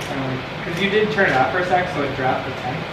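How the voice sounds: Over loud background noise, the speech goes at a fast pace with ordinary pitch variation. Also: man, fairly high pitch for a man.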